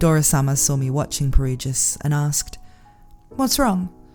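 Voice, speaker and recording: A woman keeps a moderate pace while music plays in the background. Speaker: audiobook narrator. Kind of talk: audiobook reading.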